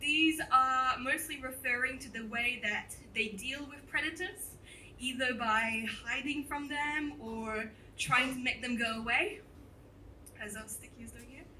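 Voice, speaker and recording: A woman with a high pitch projects a raised voice at a fairly slow pace, with ordinary pitch variation, big swings in loudness and audible room echo. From France, moved to New Zealand at eleven. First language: French. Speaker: entomologist giving a talk. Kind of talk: popular science talk. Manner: animated.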